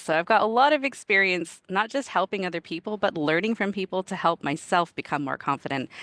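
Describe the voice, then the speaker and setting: Speaking very fast with an animated tone and lively intonation, a woman is heard over a quiet background. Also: dry, close sound with no echo. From Canada. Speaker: product manager and career coach. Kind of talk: presentation talk.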